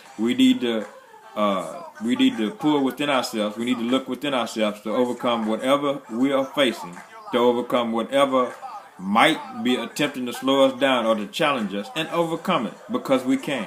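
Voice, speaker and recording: A man speaks at a moderate pace. His pitch varies in an ordinary way, with noticeable background noise behind him. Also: medium pitch for a man. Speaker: motivational speaker. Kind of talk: motivational livestream talk. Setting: live video stream. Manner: animated.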